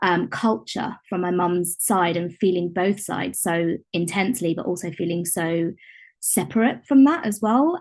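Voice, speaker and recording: A woman speaks with a British accent at a medium pitch. Her pace is moderate against a quiet background. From UK. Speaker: contributing poet. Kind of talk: author talk about own poem. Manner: halting, many fillers.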